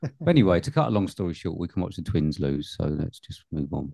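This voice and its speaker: A man with an English accent speaks at a very deep, low pitch in a dark, mellow tone with lively intonation. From England. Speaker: film podcast host. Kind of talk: casual chat.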